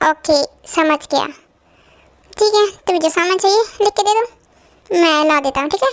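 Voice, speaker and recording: In a put-on character voice pitched extremely high, a woman talks at a moderate pace with lively intonation, the sound dry and close with no echo. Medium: fan dub. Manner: curt, commanding.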